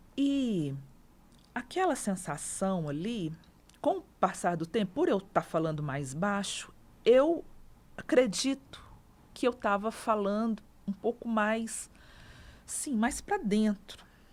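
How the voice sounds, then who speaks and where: Very slowly and with long, frequent pauses, a woman speaks at a fairly high pitch with very wide pitch swings in a very clean recording with a silent background. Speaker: teacher. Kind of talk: interview testimony.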